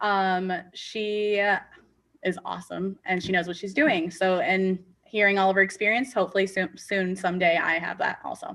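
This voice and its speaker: A woman with an American accent, a normal speaking voice, medium pitch and a moderate pace. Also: fairly even intonation. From US Midwest, Rockford, Illinois. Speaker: special education teacher. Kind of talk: panel discussion.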